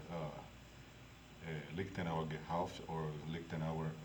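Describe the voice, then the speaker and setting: Amid noticeable background noise and audible room echo, a man with a strong non-native accent speaks fairly slowly in a very deep, low pitch. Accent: thick non-native. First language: Spanish. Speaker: historical martial arts instructor. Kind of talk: lecture. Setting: library meeting room. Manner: halting, many filler sounds.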